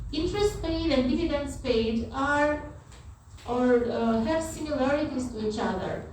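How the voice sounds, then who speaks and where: Amid audible room echo and noticeable background noise, a woman with a non-native accent speaks at a fairly slow pace in a high voice. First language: not English. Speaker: university lecturer. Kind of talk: lecture.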